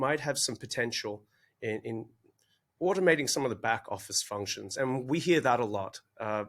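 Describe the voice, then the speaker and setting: Recorded very cleanly against a silent background, a man speaks with an Australian accent at a medium pitch and a moderate pace. His tone is bright and sharp, and his intonation is lively. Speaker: podcast host, digital assets director. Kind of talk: podcast interview. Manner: casual, joking.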